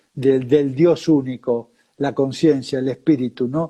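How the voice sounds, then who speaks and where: The voice has a dark, mellow tone and moves at a fairly slow pace. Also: man. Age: 70s. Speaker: spiritual teacher. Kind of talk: interview.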